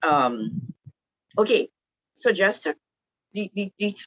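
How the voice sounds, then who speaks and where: A woman with a Trinidadian accent speaks at a fairly slow pace with very wide pitch swings, the sound dry and close with no echo. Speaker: women's group speaker. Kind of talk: online talk to a group. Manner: casual, hesitant with many fillers.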